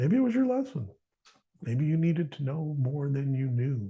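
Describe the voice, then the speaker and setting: A man's somewhat breathy, dark, mellow voice at medium pitch, with very wide pitch swings and a moderate pace. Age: 60s. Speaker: podcast host. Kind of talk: faith podcast monologue. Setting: studio. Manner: halting, with frequent repetitions.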